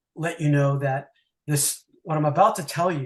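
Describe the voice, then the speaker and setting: This man's delivery is neither fast nor slow. There's a somewhat breathy quality to it. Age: 60s. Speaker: retired mortgage banker, airport driver. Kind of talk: interview storytelling. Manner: halting, many fillers.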